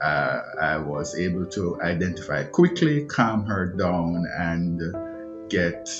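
A man talks at a very slow pace with clear music playing in the background. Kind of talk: interview answer. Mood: calm, measured storytelling. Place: home room. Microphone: phone near.

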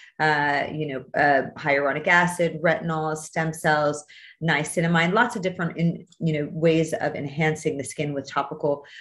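Her voice sits very deep and low. The pitch moves about in an ordinary way. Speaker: skin doctor hosting a masterclass. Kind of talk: online lecture. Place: home room. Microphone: video call.

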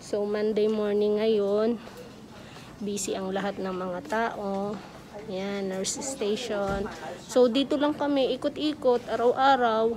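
A woman speaking at a very slow pace with ordinary pitch variation, noticeable background noise behind her. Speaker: caregiver vlogger. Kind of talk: casual vlog chat. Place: hall. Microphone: phone near.

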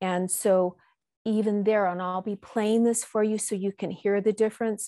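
Over a quiet background, a woman's dark, mellow tone holds a monotone, flat intonation. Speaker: minister leading a service. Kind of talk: sermon. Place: church. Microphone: lapel.

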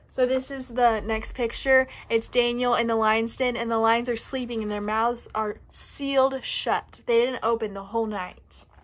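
The speech has hardly any pauses. Its intonation is monotone and flat. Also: woman, moderate pace. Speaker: youth storyteller. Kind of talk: children's story reading and lesson. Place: home room. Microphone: phone near.

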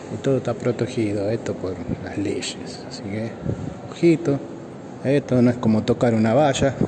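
Over noticeable background noise, a man at medium pitch talks at a moderate pace with ordinary pitch variation and long, frequent pauses. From Argentina. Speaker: vlogger. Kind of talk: casual walking vlog. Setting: walking through a museum. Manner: animated. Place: hall. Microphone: phone near.

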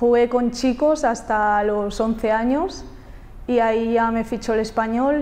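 Her tone dark and mellow, a woman speaks at a fairly slow pace in a fairly high pitch with fairly even intonation. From Catalonia, Spain (near Barcelona). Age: 20s. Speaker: footballer. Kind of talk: interview answers. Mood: friendly, upbeat. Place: studio. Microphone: lapel.

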